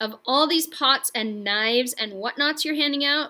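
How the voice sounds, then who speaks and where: Doing a put-on character voice, a woman speaks at a high pitch and a moderate pace with ordinary pitch variation. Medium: read story. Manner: harsh, bossy.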